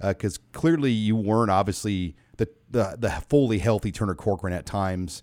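A man with an unremarkable speaking voice, fairly low pitch, ordinary pitch variation and a fairly quick pace. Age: 40s. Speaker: sports podcast host and publisher. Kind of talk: casual sports interview and talk show. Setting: studio.

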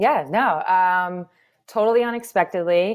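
A woman speaks at a medium pitch with ordinary pitch variation. It is an unremarkable speaking voice. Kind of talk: casual chat. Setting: video call.

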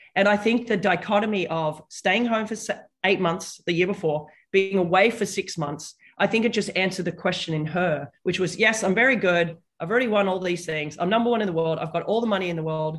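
A woman speaks fairly quickly in an Australian accent. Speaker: tennis commentator and former player. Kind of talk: casual interview.

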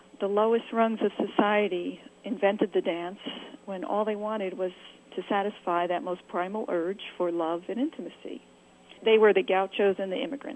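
At a moderate pace, a woman with an unremarkable speaking voice talks with ordinary pitch variation. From California. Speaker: author, tango dancer. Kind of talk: interview.

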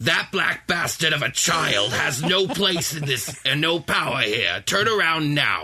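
At a fairly slow pace, a man performs a put-on character voice pitched fairly high. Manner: menacing, commanding.

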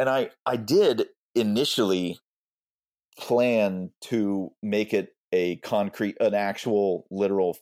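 With a Texan accent, a man speaks at a very slow pace and fairly low pitch, his loudness very even, in a very clean recording with a silent background and a dry, close sound with no echo. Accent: Texan American. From Texas, Austin. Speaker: English professor and author. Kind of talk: interview.

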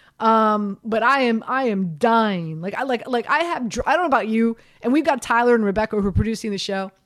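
Pitched fairly high, a woman talks at a fairly quick pace with lively intonation and hardly any pauses. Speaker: radio host. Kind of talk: casual sports talk radio. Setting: radio studio. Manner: animated, chatty.

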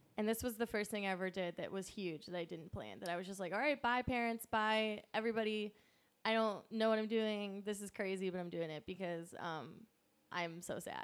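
A normal speaking voice with an American accent moves at a fairly quick pace, showing ordinary pitch variation. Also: woman, medium pitch for a woman. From Pennsylvania. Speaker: stand-up comedian. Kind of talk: casual chat.

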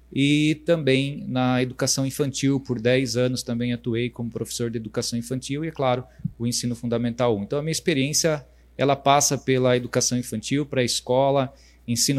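A medium-pitched male voice with fairly even intonation. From Brazil, Votorantim, São Paulo state. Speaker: municipal education secretary, former teacher. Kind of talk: interview on a live stream. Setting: live stream. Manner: halting, many fillers.

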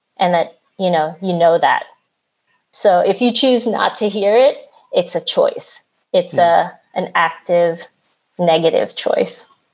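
In a Philadelphia accent, a woman speaks at a fairly slow pace with long, frequent pauses. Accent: American, Philadelphia. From US Northeast, Philadelphia. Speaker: oral history editor. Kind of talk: interview. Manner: halting.

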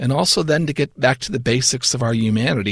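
A man speaks at a moderate pace in a somewhat breathy voice, on a very clean recording with a silent background. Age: 50s. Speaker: seminary professor. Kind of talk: interview.

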